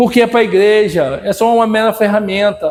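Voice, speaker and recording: At a fairly slow pace, a man speaks in a high pitch with fairly even intonation. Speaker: Bible school teacher. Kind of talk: Bible lesson video. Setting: recorded video lesson.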